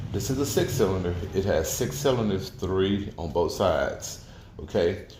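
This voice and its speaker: Audible room echo surrounds a man talking at a fairly slow pace. His intonation is lively. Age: 60s. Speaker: auto mechanic. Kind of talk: tutorial. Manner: halting, many repetitions and fillers.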